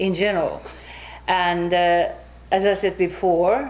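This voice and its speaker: The speaker is a woman. Her voice sits fairly low in pitch. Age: 60s. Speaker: English teacher. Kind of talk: interview. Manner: halting.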